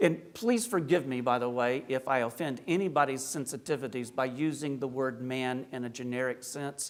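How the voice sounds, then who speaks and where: A man at a moderate pace with a slight Appalachian accent. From US South, rural South Carolina / Appalachia. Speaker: Orthodox priest, speaker. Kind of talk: lecture. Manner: conversational, humorous asides.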